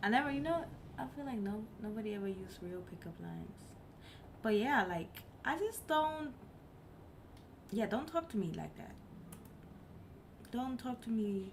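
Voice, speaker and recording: A woman speaks at a moderate pace with a fairly high pitch, very wide pitch swings and big swings in loudness, leaving long, frequent pauses. Noticeable background noise and audible room echo fill the recording. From Germany. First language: not English (English is her third language). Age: 20s. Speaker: live streamer. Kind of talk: casual chat. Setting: live stream.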